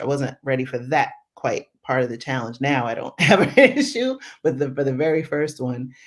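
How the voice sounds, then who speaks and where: Animated in tone, a woman with an American accent speaks at a moderate pace with a very deep, low pitch. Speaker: travel podcast host, guest interviewee. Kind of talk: casual interview on livestream. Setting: live stream.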